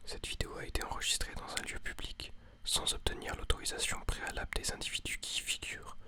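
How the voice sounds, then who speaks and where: Whispering at a fairly quick pace, a man speaks over noticeable background noise. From Switzerland. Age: young. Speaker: ASMR artist. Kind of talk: scripted disclaimer read.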